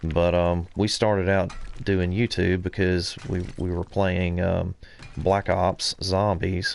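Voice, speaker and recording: The delivery is flat and monotone. It comes with a Southern US accent. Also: man. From US South, central Alabama. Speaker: gaming streamer. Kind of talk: live game stream commentary. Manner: casual, hesitant with many fillers.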